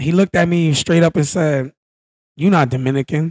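A man with an American accent talks at a fairly quick pace in a somewhat breathy voice. The background is quiet and the sound is dry with no echo. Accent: American English with urban vernacular. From United States. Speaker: podcast guest. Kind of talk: casual chat. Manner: animated storyteller. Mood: relaxed, animated storytelling. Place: hall. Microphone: handheld.

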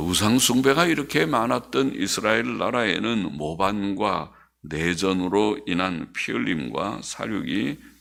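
Very slowly, a man with a fairly low pitch speaks with vocal fry and lively intonation. The recording is very clean, with a silent background. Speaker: pastor. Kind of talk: sermon.

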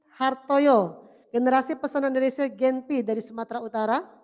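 Against a quiet background, a high-pitched woman talks at a fairly quick pace in an animated tone with ordinary pitch variation. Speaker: government official. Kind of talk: formal speech. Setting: venue with live audience. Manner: animated, exhortative. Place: hall. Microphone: handheld.

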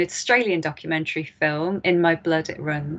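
A woman at a moderate pace, fairly even intonation, and a quiet background. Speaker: event host introducing a speaker. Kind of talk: formal event introduction. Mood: warm, welcoming. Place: home room. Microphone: webcam.

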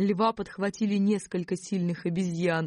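The delivery is animated and moves at a moderate pace. The background is quiet. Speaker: audiobook narrator. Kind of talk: audiobook reading of a children's fairy tale, narrated with character voices in dialogue. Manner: animated, expressive storytelling, shifting tone for each character.

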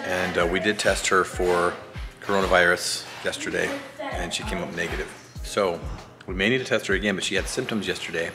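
A man talks as clear music plays behind him. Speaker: family vlogger. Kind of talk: casual vlog chat. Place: kitchen. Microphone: phone near.

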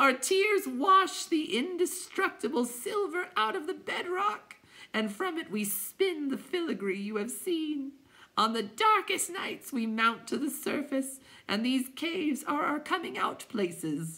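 Someone puts on a character voice with a high pitch at a fairly slow pace. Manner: mournful, groaning.

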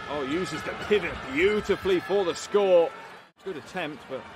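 A man with a fairly high voice speaks at a moderate pace in a dry, echo-free recording with noticeable background noise. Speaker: basketball commentator. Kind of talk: live sports commentary over game highlights. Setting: broadcast voiceover.

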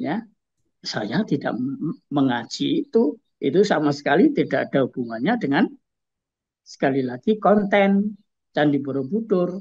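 Against a quiet background, a man with a high pitch speaks at a moderate pace, his pitch swinging very widely and his speech broken by long, frequent pauses. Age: 70s. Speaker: culture expert and writer; guest. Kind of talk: interview. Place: home room. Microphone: video call.

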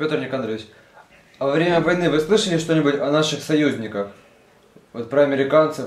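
Speaking at a fairly quick pace with long, frequent pauses, a man talks in a fairly high pitch. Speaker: interviewer. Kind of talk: interview.

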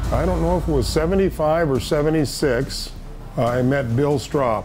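Over clear music in the background, a man talks at a moderate pace with very even loudness. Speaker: race radio dispatcher and safety communicator. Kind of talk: interview answer, casual storytelling. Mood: reminiscing, wry humor. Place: studio.

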